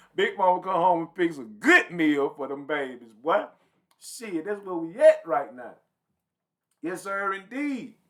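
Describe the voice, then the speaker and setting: With an animated tone, a man speaks fairly slowly at a high pitch, his voice making very wide pitch swings and big swings in loudness. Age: 40s. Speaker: podcast host. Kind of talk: casual monologue.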